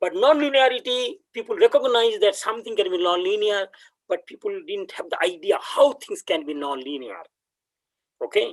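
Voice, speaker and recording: With a Bengali accent, a man talks at a moderate pace. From India, West Bengal. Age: 60s. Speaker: professor. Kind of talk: lecture. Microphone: laptop audio without headphones.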